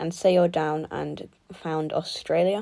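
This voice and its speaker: A woman in a British accent, fairly low-pitched and dark and mellow in tone, with monotone, flat intonation and a very slow pace. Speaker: mapping video creator. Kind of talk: video game recap narration. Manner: halting.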